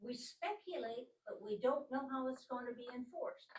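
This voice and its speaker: At a moderate pace, a woman talks in a high pitch. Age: 80s+. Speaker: resident speaking at public comment. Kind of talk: public meeting debate. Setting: village council meeting.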